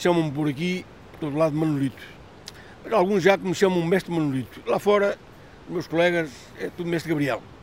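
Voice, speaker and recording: A man with a high pitch speaks at a fairly quick pace, with ordinary pitch variation. Long, frequent pauses break up his speech. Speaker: fisherman. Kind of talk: interview testimony.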